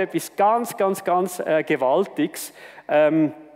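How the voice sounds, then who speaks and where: A man is speaking. He has a Swiss accent. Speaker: church leader and preacher. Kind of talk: sermon.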